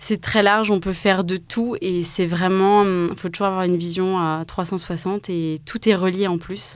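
At a fairly slow pace, a woman speaks at a medium pitch in a monotone, flat intonation. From Alsace, France (Mulhouse). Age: 20s. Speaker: start-up co-founder. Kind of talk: interview.

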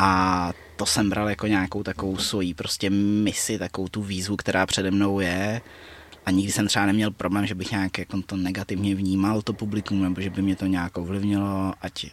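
A man talks at a moderate pace. His fairly low voice stays monotone and flat. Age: 20s. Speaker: martial arts fighter and coach. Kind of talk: casual interview chat.

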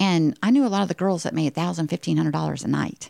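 A woman speaks with a Texan accent in an animated tone. The recording is very clean and dry, with a silent background and a close sound with no echo. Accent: Texan US Southern. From Texas. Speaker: podcast host sharing her life story. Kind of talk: personal monologue, motivational testimony. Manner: animated, frequent laughter.

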